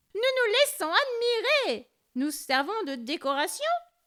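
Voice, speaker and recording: This put-on character voice sits at an extremely high pitch with very wide swings and moves at a fairly slow pace. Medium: read story. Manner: haughty, pleased with itself.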